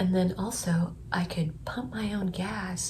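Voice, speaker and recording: A quiet woman's voice, fairly low-pitched and fairly slow, with ordinary pitch variation and noticeable background noise. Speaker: vlogger, aspiring public speaker. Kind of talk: personal testimony vlog. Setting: at home early morning.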